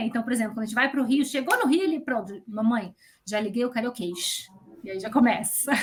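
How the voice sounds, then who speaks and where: A woman talks at a fairly quick pace. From Brazil, Rio de Janeiro. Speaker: entrepreneur. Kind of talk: interview.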